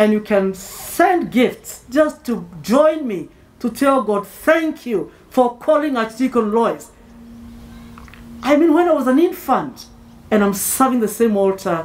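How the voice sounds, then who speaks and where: Her high voice swings very widely in pitch as this woman speaks at a fairly slow pace. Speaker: clergy preacher. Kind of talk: sermon. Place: tent. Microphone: podium.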